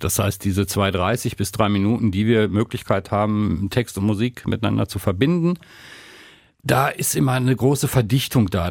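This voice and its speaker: An ordinary speaking voice with lively intonation moves at a moderate pace on a very clean recording with a silent background. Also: man. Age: 60s. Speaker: podcast co-host and radio presenter. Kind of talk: casual chat.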